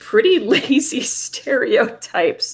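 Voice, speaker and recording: A woman with a Plains American accent talks with lively intonation. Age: 20s. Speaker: guest. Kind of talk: casual chat.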